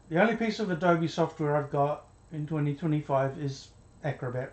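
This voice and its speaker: The speaker talks at a fairly quick pace, somewhat breathy, with ordinary pitch variation. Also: man. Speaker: video diarist. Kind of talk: video diary monologue. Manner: halting, repetitive.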